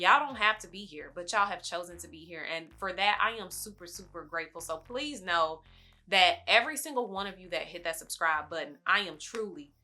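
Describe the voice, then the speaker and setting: Animated and bright with a sharp edge, a woman with a medium pitch speaks at a fairly quick pace, her intonation lively and her loudness swinging widely. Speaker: lifestyle YouTuber. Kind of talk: casual vlog talk to camera. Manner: fast.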